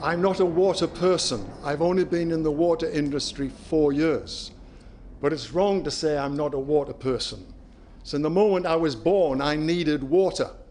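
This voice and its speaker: A man with a British accent talks at a moderate pace and a fairly high pitch. His pitch varies in an ordinary way, and the room echo is audible. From UK. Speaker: company CEO. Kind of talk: conference presentation.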